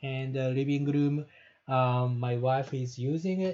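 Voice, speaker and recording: A man talks at a very slow pace with a Japanese accent, his tone dark and mellow. His voice is somewhat breathy, with fairly even intonation. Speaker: professor. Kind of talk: lecture. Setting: online live-streamed class from home bedroom. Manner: halting, many fillers. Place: home room. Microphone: earbuds.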